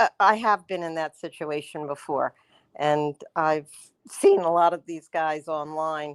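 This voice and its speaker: A woman speaks in a normal speaking voice, fairly low in pitch, at a fairly slow pace. The sound is dry and close with no echo, and her loudness swings widely. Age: 60s. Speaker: caller. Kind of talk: call-in question.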